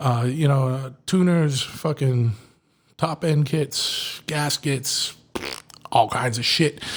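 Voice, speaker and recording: A man speaks with a Boston accent. His pitch is fairly high and his intonation fairly even. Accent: Boston-area Massachusetts. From Massachusetts. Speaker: podcast host and motorcycle shop owner. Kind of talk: sponsor reads in a casual podcast. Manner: halting, lots of fillers.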